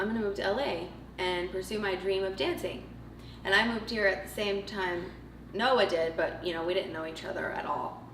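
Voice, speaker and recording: Over noticeable background noise and audible room echo, a woman speaks at a fairly quick pace at a medium pitch with ordinary pitch variation. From Montreal, then Arizona and Arkansas. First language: French. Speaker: choreographer. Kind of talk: casual chat.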